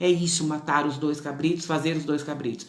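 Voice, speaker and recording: A woman is speaking amid noticeable background noise, with echo from the room clearly audible. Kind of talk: religious teaching. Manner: fast.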